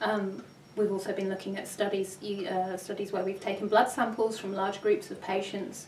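The speaker talks at a moderate pace with monotone, flat intonation. Audible room echo and light background noise are present. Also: woman. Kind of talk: interview answer. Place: office.

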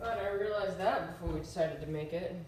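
Audible room echo surrounds a woman talking at a fairly quick pace in a slightly mellow tone. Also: fairly low pitch for a woman, ordinary pitch variation.

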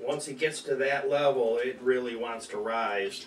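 A man talks with ordinary pitch variation. There is audible room echo and light background noise. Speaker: home cooking show host. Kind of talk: tutorial. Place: kitchen. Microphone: camera far.

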